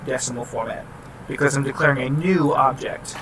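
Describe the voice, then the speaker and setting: A man's fairly high voice shows ordinary pitch variation while noticeable background noise carries on underneath. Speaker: student explaining class programming assignment. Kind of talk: tutorial. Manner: fast; casual, halting with restarts.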